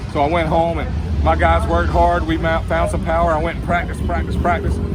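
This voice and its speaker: Amid noticeable background noise and audible room echo, a man with a very deep, low voice speaks very fast. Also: ordinary pitch variation. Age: 60s. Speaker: retired drag racing champion and motorcycle racer. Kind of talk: interview.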